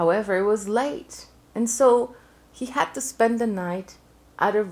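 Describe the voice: Plain reading aloud, the pitch varying an ordinary amount.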